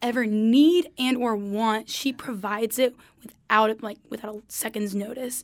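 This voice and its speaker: Delivered at a moderate pace with hardly any pauses, this is an ordinary speaking voice. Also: woman. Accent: American. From US South, eastern North Carolina. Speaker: college student guest. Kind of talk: casual chat.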